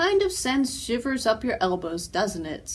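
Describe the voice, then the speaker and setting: Over light background noise, a put-on character voice leaps through very wide pitch swings. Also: woman, high pitch for a woman, moderate pace. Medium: read story.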